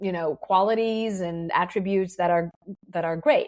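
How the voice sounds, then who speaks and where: Speaking with an Israeli accent, a woman of medium pitch holds a moderate pace. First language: Hebrew. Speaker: business mentor. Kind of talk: podcast interview. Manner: halting, with restarts and fillers.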